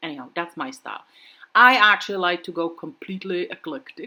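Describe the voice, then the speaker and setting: Her tone is bright and sharp as this woman, with a non-native accent and a fairly low pitch, speaks at a fairly quick pace. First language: not English. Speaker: craft video creator. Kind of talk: tutorial. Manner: casual, relaxed with fillers.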